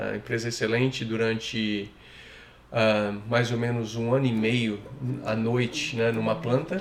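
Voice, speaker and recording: Noticeable background noise and audible room echo accompany a man at medium pitch. He talks at a fairly slow pace with fairly even intonation. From Brazil, São Paulo. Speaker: immigrant interviewee. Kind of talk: casual interview.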